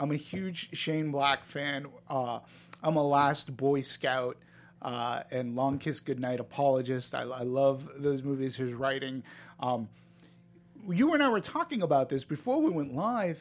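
A man with an American accent and a plain, everyday voice talks fairly slowly at a fairly high pitch with ordinary pitch variation. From Boston, US. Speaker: film critic. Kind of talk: casual chat.

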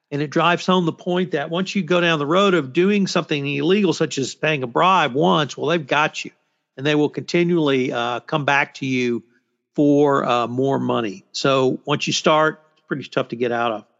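A man speaks at a moderate pace with a fairly high voice and ordinary pitch variation. His loudness swings widely. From Texas. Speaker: podcast host, compliance commentator. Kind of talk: roundtable discussion.

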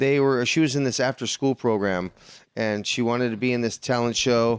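In an American accent, a man with an unremarkable speaking voice talks at a moderate pace with medium pitch and ordinary pitch variation, on a very clean recording with a silent background and a dry, close sound with no echo. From Los Angeles. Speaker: podcast co-host. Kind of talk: casual chat. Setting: garage.

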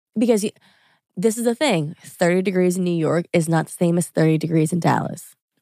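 A woman with an American accent speaks at a fairly quick pace, her pitch fairly low with ordinary variation. Her tone is dark and mellow, and the sound is dry and close with no echo. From Louisiana, US South. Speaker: influencer. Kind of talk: casual chat.

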